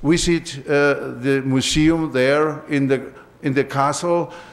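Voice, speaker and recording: A man speaks at a fairly high pitch with fairly even intonation. Noticeable background noise and audible room echo surround his voice. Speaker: professor. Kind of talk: lecture. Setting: auditorium. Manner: halting.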